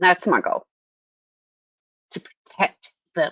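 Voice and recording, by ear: The tone is bright and sharp, delivered at a slow pace. The sound is dry and close, with no echo. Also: woman.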